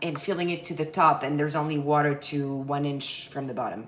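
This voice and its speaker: A woman with a French accent speaks with a very deep, low pitch. The recording has audible room echo and noticeable background noise. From France, Paris. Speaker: baking instructor. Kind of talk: live cooking tutorial. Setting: home kitchen livestream. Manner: casual, chatty.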